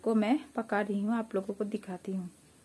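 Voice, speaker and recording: A woman with a somewhat breathy, dark and mellow tone. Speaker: village vlogger. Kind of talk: cooking vlog narration. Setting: home kitchen.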